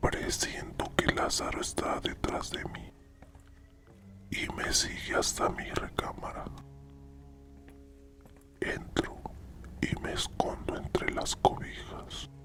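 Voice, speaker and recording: Someone whispers at a very slow pace, with long, frequent pauses. Music plays in the background. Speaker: narrator and scriptwriter. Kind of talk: whispered horror story narration. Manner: whispered.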